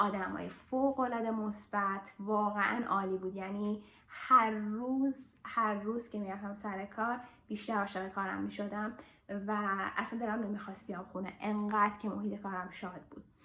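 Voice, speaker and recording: Against noticeable background noise, a woman speaks at a moderate pace in a medium-pitched, monotone, flat voice. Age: 30s. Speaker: vlogger, airline flight control manager. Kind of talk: casual personal vlog. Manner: hesitant with fillers.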